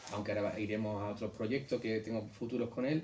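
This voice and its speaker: Speaking in an Andalusian accent, a man with a fairly low pitch keeps a fairly quick pace and fairly even intonation. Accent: Andalusian (Algeciras). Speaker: illustrator. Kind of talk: book presentation talk. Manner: halting.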